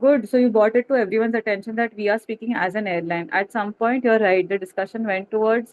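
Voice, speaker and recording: Her pace fairly quick, a woman speaks at a medium pitch with ordinary pitch variation. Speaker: aviation interview trainer. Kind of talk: webinar feedback to students. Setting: video call webinar. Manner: fast.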